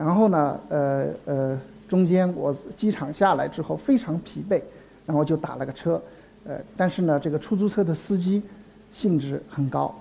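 Here a man speaks at a fairly high pitch and moderate pace. His pitch varies in an ordinary way. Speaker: anthropology professor. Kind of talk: public lecture. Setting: stage with audience. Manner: halting, many filler sounds.

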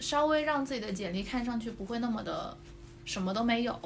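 A fairly high-pitched woman speaks with ordinary pitch variation, with audible room echo and noticeable background noise around her. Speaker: former overseas student. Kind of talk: casual chat.

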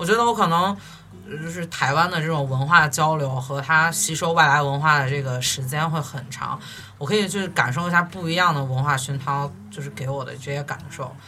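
A fairly quick pace, with noticeable background noise. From Xi'an, China. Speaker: recent graduate, former exchange student. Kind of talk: casual chat. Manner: halting.

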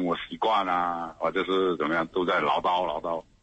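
A man talks with a very deep, low pitch. Noticeable background noise runs behind him. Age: 40s. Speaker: radio caller. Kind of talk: call-in conversation about marriage problems.

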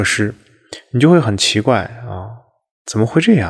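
The pace here is fairly slow. It is a man talking. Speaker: Buddhist monastic and podcast host. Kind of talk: memorial monologue. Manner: low, subdued tone.

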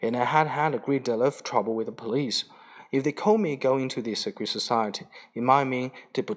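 Pitch shifts in an ordinary way. The delivery is a natural reading voice.

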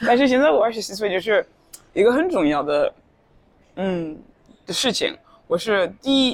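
A woman with a fairly high pitch speaks at a moderate pace, her pitch swinging very widely, with long, frequent pauses. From Norway (Tromsø). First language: Norwegian (speaking Chinese). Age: 20s. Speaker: university student. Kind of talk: casual interview. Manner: halting. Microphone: poor recording quality.

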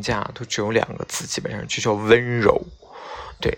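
A man talks over noticeable background noise. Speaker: podcast host. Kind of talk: late-night solo radio-style monologue. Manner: casual, hesitant with many fillers.

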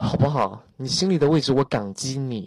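A man speaks with a fairly high pitch. His pace is moderate and his pitch variation ordinary. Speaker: internet celebrity making a surprise visit to a voice chat room. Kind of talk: casual chat. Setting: online voice chat room. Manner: animated. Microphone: echo without earphones.

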